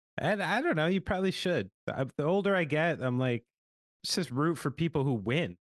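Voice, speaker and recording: A plain, everyday voice with lively intonation and very even loudness comes at a moderate pace, with a dry, close sound with no echo against a quiet background. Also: man, fairly high pitch for a man. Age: 40s. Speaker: rock band drummer. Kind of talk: casual chat.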